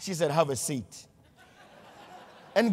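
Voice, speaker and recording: Animated in tone, the voice carries a non-native accent, moves at a fairly slow pace, and swings very widely in pitch. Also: man. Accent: foreign. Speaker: motivational speaker. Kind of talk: motivational speech.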